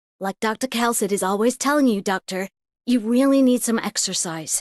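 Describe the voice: A female-sounding put-on character voice, fairly high in pitch and moderate in pace, against a quiet background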